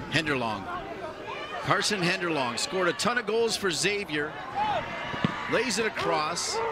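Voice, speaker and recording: Moderate pace broken by long, frequent pauses, in a dry sound with no echo over loud background noise. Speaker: play-by-play commentator. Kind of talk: live play-by-play commentary.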